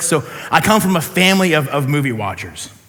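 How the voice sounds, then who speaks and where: The speaker sounds animated, with an American accent and ordinary pitch variation. Noticeable background noise and audible room echo surround the voice. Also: man. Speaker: pastor. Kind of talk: sermon. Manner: fast.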